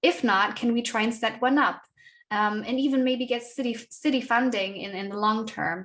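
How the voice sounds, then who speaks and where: Speaking with a German accent, a woman keeps a moderate pace, a fairly high pitch and fairly even intonation. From Germany. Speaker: activist and writer. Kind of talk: interview. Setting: conference. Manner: halting, many fillers and repeats.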